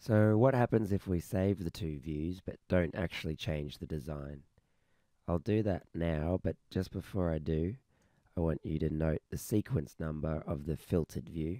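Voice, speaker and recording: Speaking in an Australian accent, a man with a very deep, low pitch and a dark, mellow tone talks at a moderate pace with ordinary pitch variation, in a dry, close sound with no echo. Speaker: software developer. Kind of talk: tutorial.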